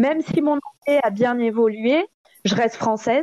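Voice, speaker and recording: An ordinary speaking voice from a woman, fairly high in pitch with ordinary pitch variation, at a moderate pace, dry and close with no echo. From southern France. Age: 30s. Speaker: stripper. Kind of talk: interview.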